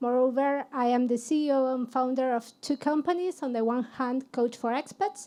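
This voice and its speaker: Speaking with a Spanish accent, a woman uses a high pitch at a moderate pace. Her intonation is fairly even, with hardly any pauses. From Argentina. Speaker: HR consultant and career coach. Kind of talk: panel discussion.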